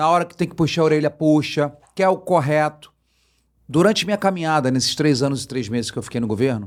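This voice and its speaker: A man talks at a very fast pace in a Rio de Janeiro accent, recorded very cleanly against a silent background. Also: fairly high pitch for a man, ordinary pitch variation. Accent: carioca. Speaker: politician and fish businessman. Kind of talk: interview. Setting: studio.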